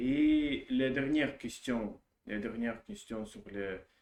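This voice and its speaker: A man with a Russian accent talks at a very slow pace, his pitch varying in an ordinary way. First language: Russian (speaking French). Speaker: language learner vlogger. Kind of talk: casual monologue practicing a foreign language. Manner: halting, many hesitations and repetitions.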